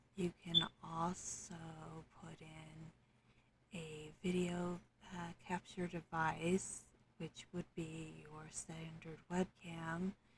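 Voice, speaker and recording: A soft-spoken woman at a fairly low pitch and a very slow pace, with monotone, flat intonation and big swings in loudness. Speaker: tabletop game master. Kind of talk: software tutorial narration.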